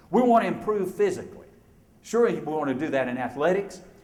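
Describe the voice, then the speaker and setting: An animated man with an Alabama accent, with audible room echo. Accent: Southern US (Alabama). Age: 60s. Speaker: motivational speaker. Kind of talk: keynote speech.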